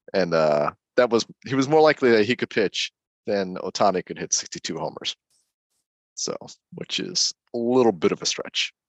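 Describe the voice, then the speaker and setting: Against a quiet background, a man's voice swings very widely in pitch, broken by long, frequent pauses, in a dry, close sound with no echo. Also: medium pitch for a man, moderate pace. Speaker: podcast co-host. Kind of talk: casual sports talk. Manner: halting, filler-heavy.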